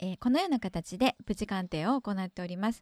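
A woman talks at a fairly quick pace with lively intonation. The recording is very clean, with a silent background and a dry, close sound with no echo. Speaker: radio show co-host assistant. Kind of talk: casual chat; scripted announcement.

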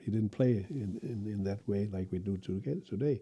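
Somewhat breathy and dark, mellow in tone, a man with a Danish accent speaks at a fairly low pitch and a fairly slow pace. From Denmark. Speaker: cello professor and orchestral cellist. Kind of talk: interview.

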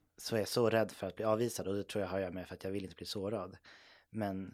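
The intonation stays flat and monotone. Delivery is very fast. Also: man, very clean recording, silent background. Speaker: podcast co-host. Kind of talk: casual chat.

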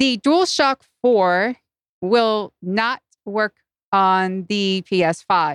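A woman's medium-pitched voice in a dry, close sound with no echo. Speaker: podcaster. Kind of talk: casual chat. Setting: live-streamed remote recording.

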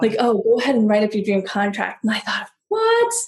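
Somewhat breathy, a woman speaks at a fairly high pitch. She talks with an American accent. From US, San Diego. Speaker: negotiation coach. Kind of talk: podcast interview.

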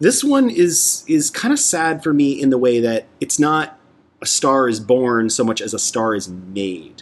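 With an unremarkable speaking voice, a man talks at a fairly slow pace, his fairly high pitch carrying lively intonation. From Canada, Toronto. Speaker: podcast host. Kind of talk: casual chat.

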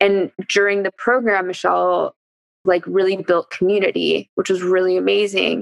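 A woman with a Californian accent speaks at a moderate pace and very even loudness, in a dry, close sound with no echo. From East Bay Area, California. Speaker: former biology teacher, nonprofit co-founder. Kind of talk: casual chat.

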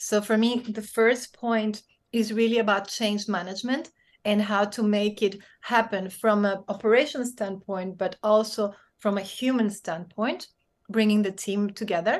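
A woman with a Spanish accent, fairly high in pitch, with fairly even intonation at a moderate pace against a quiet background. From Spain, raised across several countries. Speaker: business leader and speaker. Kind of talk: interview conversation. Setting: video call.

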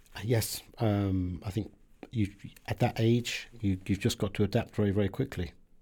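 Somewhat breathy and dark, mellow in tone, a man with a British accent speaks at a fairly low pitch with fairly even intonation. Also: moderate pace. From southern England. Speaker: diplomat. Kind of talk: interview. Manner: halting.

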